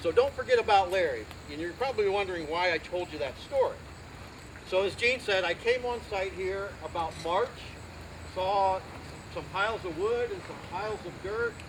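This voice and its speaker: Someone with a Midwestern American accent speaks at a moderate pace with ordinary pitch variation, leaving long, frequent pauses. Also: man, high pitch for a man. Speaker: community volunteer, Navy veteran. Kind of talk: outdoor dedication speech. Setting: outdoors at garden event. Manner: animated.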